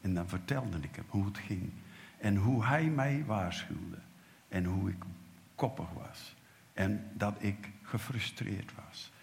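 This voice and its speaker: A man's fairly low voice at a very slow pace, ordinary pitch variation, and audible room echo. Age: 70s. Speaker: preacher. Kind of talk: sermon.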